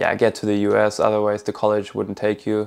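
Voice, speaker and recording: Over a quiet background, a man with a slight German accent talks at a fairly quick pace, his fairly low voice dark and mellow in tone. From Germany (Berlin). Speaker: college soccer player. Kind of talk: personal story vlog.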